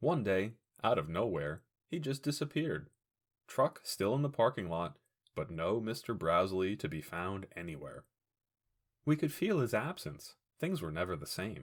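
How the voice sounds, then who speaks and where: In a very clean recording with a silent background, a man speaks at a moderate pace with very wide pitch swings and long, frequent pauses. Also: fairly low pitch for a man. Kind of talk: audiobook fiction reading.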